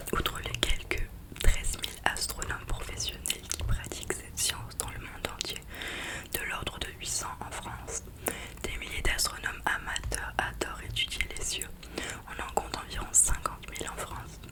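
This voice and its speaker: Whispering comes at a moderate pace against noticeable background noise. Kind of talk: book reading. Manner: whispered.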